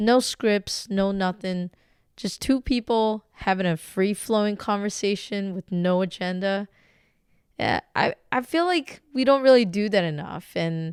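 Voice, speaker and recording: A normal speaking voice with ordinary pitch variation moves at a fairly slow pace, heard dry and close with no echo in a very clean recording with a silent background. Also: woman, medium pitch for a woman. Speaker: podcast host. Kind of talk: podcast intro.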